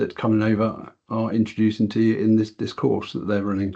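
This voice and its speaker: A fairly low, dark and mellow male voice with a British accent, flat and monotone at a fairly quick pace, over a quiet background. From England. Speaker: software product director and quantity surveyor; software trainer presenting. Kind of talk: webinar presentation. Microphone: video call.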